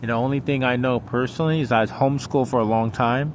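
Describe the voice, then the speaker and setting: A man mumbles at a very fast pace. His intonation is monotone and flat. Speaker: vlogger. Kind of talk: personal monologue vlog. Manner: mumbling; halting.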